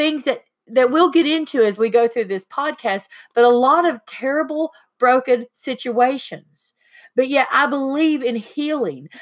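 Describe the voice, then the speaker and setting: A woman's high voice in an Appalachian accent at a moderate pace, with ordinary pitch variation, on a very clean recording with a silent background. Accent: Appalachian Southern US. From US South, eastern Tennessee. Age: 50s. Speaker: podcast host, spiritual healer. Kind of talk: casual chat.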